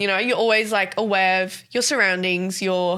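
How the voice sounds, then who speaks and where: In a strong Australian accent, a woman speaks at medium pitch and a moderate pace. Her tone is bright and sharp, her intonation fairly even, on a very clean recording with a silent background. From South Africa, Johannesburg, moved to Sydney at ten. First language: Afrikaans. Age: 20s. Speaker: podcast co-host. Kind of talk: casual interview chat.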